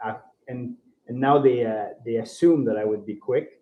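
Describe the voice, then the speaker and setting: A man with a Quebec accent and a medium pitch. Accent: French-Canadian accent in English. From Ontario, francophone. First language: French. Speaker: bike traveller. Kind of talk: podcast interview. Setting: live recording in a bike co-op. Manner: halting.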